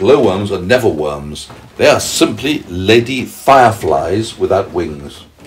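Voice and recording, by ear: The speaker is reading aloud. It comes across in a natural voice.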